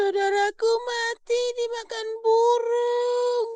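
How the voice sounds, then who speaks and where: This is a put-on character voice with an extremely high pitch. It moves at a very slow pace with monotone, flat intonation. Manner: sorrowful, grieving.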